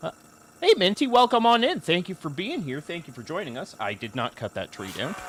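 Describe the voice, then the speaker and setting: A man talks at a fairly quick pace in a high pitch, with very wide pitch swings. His loudness swings widely, and background noise is noticeable. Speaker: game streamer. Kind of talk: live gameplay stream chat. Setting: live stream.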